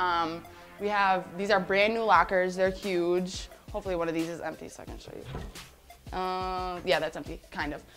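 Faint music plays in the background as a woman speaks. Her pace is moderate and her intonation fairly even. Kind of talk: casual tour guide chat.

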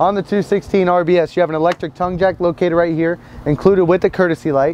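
Light background noise behind a man at a moderate pace, with dry sound and no echo. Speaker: RV salesman. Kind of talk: product walk-through presentation. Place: street.

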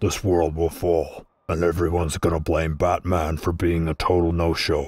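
A man uses a cartoonish character voice, very deep and low, delivered in a monotone with flat intonation. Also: moderate pace, very even loudness. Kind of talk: comic overacting. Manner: grandiose, menacing.

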